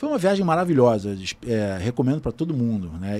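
Here is a man with a dark, mellow tone. His intonation is lively. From Brazil. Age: 50s. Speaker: photographer. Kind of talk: casual chat.

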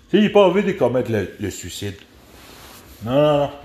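In a Quebec accent, a man speaks at a moderate pace and medium pitch with vocal fry. His pitch swings very widely. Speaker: podcast host. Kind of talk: casual rant. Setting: at home by a window. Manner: halting.

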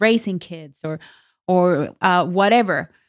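Very slowly, a woman with a non-native accent speaks at a fairly low pitch. The recording is very clean, the background silent. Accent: noticeable non-native. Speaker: podcast co-host. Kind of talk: casual chat.

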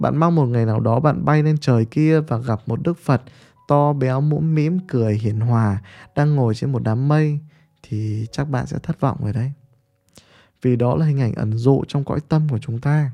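This man has a dark, mellow tone at a medium pitch. He speaks at a moderate pace with ordinary pitch variation. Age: 30s. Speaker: podcaster and business mentor. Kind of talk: monologue talk.

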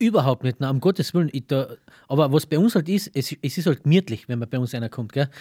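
A dark, mellow, somewhat breathy tone moves at a very fast pace with lively intonation. The recording is very clean, with a silent background and a dry, close sound with no echo. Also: man, fairly high pitch for a man. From Carinthia, Austria. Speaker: cameraman and film producer. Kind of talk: casual interview. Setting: small cinema.

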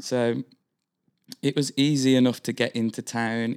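A man with a Birmingham accent speaks at a medium pitch and moderate pace in a flat monotone. The sound is dry and close, without echo. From Birmingham, England. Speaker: guest. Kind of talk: casual chat. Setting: studio.

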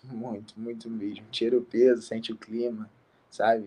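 A man's medium-pitched voice at a fairly slow pace. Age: 20s. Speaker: MMA fighter. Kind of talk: interview. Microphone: bad connection.

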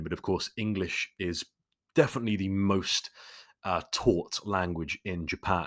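The speaker has a London accent and ordinary pitch variation. The recording is very clean with a silent background. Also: man. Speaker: podcast host. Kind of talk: Q&A monologue. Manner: casual, chatty.

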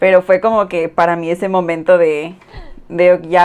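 Her voice sits at a fairly low pitch, and this woman speaks at a moderate pace with a monotone, flat intonation. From Mexico, Yucatán Peninsula (Cozumel, Mérida). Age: 20s. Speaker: podcast co-host. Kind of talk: casual chat.

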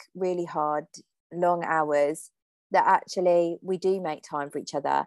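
With fairly even intonation, a woman speaks at a fairly low pitch in a dry, close sound with no echo. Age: 30s. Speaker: podcast host. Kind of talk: casual chat. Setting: remote call.

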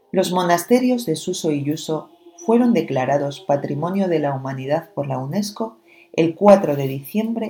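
Her voice very deep and low, a woman speaks in a dark, mellow, somewhat breathy tone with lively intonation. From Spain, La Rioja. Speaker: radio presenter. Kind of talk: scripted narration.

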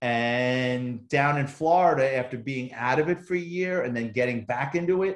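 With a New York accent, a man speaks using lively intonation. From New York City, the Bronx. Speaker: retired police officer and author. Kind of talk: casual interview conversation.

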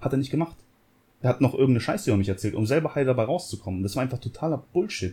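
A man's somewhat breathy, dark, mellow voice at medium pitch and a very fast pace. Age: 30s. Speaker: podcast co-host. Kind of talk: casual chat.

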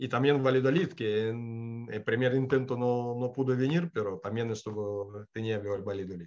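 A man with a Russian accent talks at a moderate pace and medium pitch, with ordinary pitch variation and hardly any pauses. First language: Russian (speaking Spanish). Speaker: former footballer. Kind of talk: interview.

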